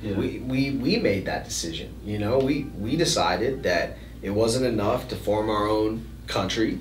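At a moderate pace and with hardly any pauses, the speech comes through audible room echo and noticeable background noise. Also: man. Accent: American. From US Midwest, south Minneapolis. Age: 30s. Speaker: podcast guest. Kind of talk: casual chat.

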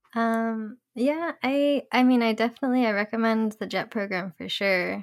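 Speaking at a moderate pace with ordinary pitch variation, this is an ordinary speaking voice with an American accent, captured in a very clean recording with a silent background and a dry, close sound with no echo. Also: woman. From California. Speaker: former English teacher and career coach. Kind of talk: casual chat.

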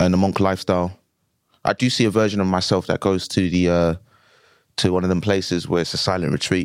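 A man speaks with a London accent in a very deep, low voice. The recording is very clean, with a silent background. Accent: London English, multicultural London. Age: 20s. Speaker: comedian. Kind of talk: casual chat.

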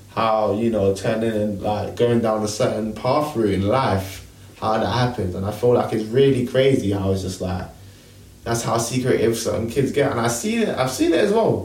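Through noticeable background noise and audible room echo, a man at a medium pitch speaks at a moderate pace with fairly even intonation. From UK. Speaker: radio host. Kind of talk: casual radio show. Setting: radio studio. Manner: laughing often.

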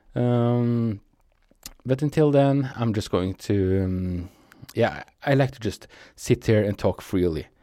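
Speaking very slowly with a Norwegian accent, a man uses a medium pitch, a dark, mellow tone, ordinary pitch variation, big swings in loudness and long, frequent pauses, on a very clean recording with a silent background. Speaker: podcaster. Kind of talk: casual solo monologue. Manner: halting, many fillers.

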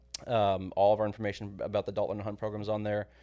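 This man's voice has a dark, mellow tone. His intonation is flat and monotone. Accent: Texan. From Texas (San Antonio). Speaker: hunting program coordinator. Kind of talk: podcast interview. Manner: hesitant with fillers.

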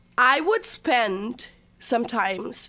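Speaking in a Russian accent, a woman uses lively intonation at a fairly high pitch. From Russia, Chelyabinsk. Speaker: social media influencer. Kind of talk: casual chat. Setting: studio.

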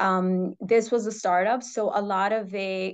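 With an American accent, a woman uses a plain, everyday voice at medium pitch and ordinary pitch variation. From New York City. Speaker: footwear product development executive. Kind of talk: interview. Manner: many fillers.

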